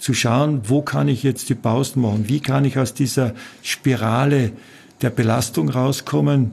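A man's medium-pitched voice with a Carinthian accent, vocal fry, ordinary pitch variation, very even loudness and a fairly slow pace. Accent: Carinthian Austrian German. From Austria, Carinthia. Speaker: physician. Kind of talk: interview.

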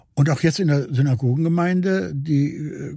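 A man speaks with a somewhat breathy, dark and mellow tone and lively intonation, on a very clean recording with a silent background. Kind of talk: interview. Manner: halting.

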